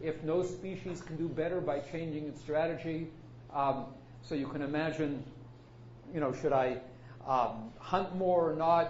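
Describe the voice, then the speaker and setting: Audible room echo surrounds a man whose fairly high voice has ordinary pitch variation. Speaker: computer science professor. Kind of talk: lecture. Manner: fast.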